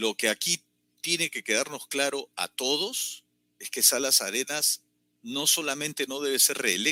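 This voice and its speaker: Speaking fairly slowly in a bright, sharp tone with ordinary pitch variation, a man is heard in a very clean recording with a silent background and a dry, close sound with no echo. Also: fairly high pitch for a man. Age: 60s. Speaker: political commentator. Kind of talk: political commentary.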